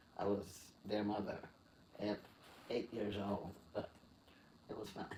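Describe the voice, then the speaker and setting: The man's American accent comes with a fairly low pitch and monotone, flat intonation. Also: long, frequent pauses. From US South, Mississippi. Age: 80s+. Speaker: retired graphic arts director. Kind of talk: interview.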